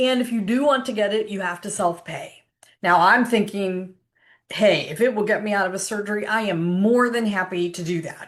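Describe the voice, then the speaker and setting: Here a woman talks at a moderate pace with medium pitch and ordinary pitch variation. She has an unremarkable speaking voice. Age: 60s. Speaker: health coach sharing personal experience. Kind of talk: casual informative vlog. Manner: conversational with frequent fillers.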